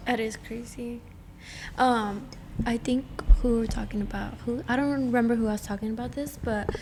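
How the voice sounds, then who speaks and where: Audible room echo and noticeable background noise accompany a speaker with a Spanish accent. The delivery is fairly quick yet broken by long, frequent pauses, with monotone, flat intonation. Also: woman, fairly high pitch for a woman. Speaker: podcast co-host. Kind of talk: casual chat.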